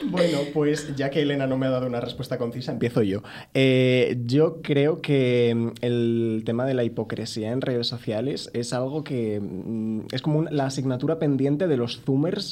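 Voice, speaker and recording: A man talks in a dark, mellow tone with ordinary pitch variation. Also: medium pitch for a man, moderate pace. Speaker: podcast co-host. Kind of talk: casual chat. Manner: halting.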